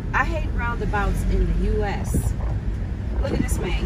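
Loud background noise surrounds a woman who talks fairly slowly. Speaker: driver vlogger. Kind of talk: casual vlog chat. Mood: animated, slightly exasperated. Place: car. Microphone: phone near.

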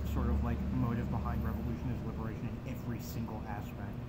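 A man talks at a fairly quick pace while loud background noise plays behind him. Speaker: food reviewer. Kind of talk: casual vlog chat. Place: home room. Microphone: camera far.

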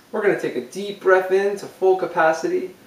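A man at a moderate pace, with audible room echo. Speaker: music teacher. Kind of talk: tutorial. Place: empty room.

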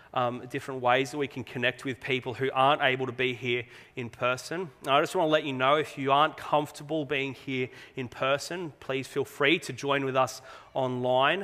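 Here a man talks with an Australian accent. His intonation is fairly even. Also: moderate pace. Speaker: pastor. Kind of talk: sermon. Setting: church. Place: church.

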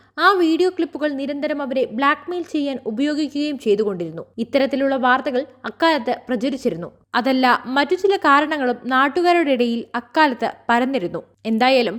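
This woman's voice is high-pitched. Lively intonation colors her speech. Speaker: news presenter. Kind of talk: scripted news narration.

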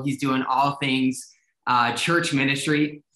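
A man's bright, sharp voice at a fairly slow pace, with audible room echo over a quiet background. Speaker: ministry director and show host. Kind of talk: casual chat. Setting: video call. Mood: upbeat and friendly. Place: home room. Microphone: video call.

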